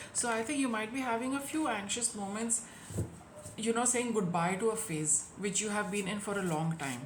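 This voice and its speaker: Speaking at a moderate pace, a woman uses a fairly high pitch and lively intonation. The recording carries audible room echo and noticeable background noise. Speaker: tarot reader. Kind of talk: tarot reading.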